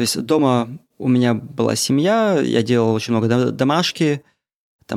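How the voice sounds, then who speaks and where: The recording is very clean, with a silent background. A man speaks in a medium pitch with ordinary pitch variation. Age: 30s. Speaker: podcaster. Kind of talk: casual monologue. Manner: casual, unedited.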